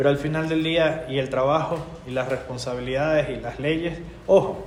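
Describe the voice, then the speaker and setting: A man with a fairly high pitch speaks at a moderate pace with fairly even intonation. Audible room echo and noticeable background noise are present. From Venezuela (born in Quito, Ecuador). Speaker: politician, legislator. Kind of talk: interview.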